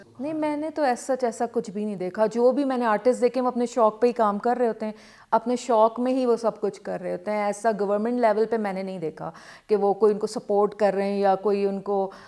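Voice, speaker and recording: A woman's voice carries a dark, mellow tone with fairly even intonation. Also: fairly high pitch for a woman. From Karachi, Pakistan. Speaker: calligraphy artist. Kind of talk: interview answer.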